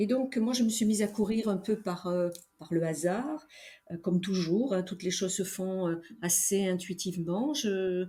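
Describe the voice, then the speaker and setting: Speaking at a fairly slow pace, a woman has a dark, mellow tone that is somewhat breathy, with ordinary pitch variation. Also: medium pitch for a woman. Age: 70s. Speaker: veteran amateur trail runner. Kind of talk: interview conversation. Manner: hesitant, many fillers.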